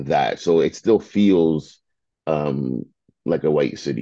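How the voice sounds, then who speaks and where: A man's very deep, low voice with a dark, mellow tone, in a Toronto accent, at a very slow pace with ordinary pitch variation. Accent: Canadian English, Toronto. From Toronto and Mississauga, Canada. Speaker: media founder and CEO. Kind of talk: casual interview.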